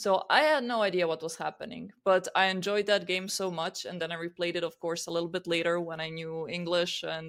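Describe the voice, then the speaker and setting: A woman speaks with a Croatian accent at a fairly quick pace, barely pausing, her pitch fairly low. Her intonation stays fairly even, and the recording is very clean with a silent background. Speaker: podcast co-host. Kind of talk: casual chat.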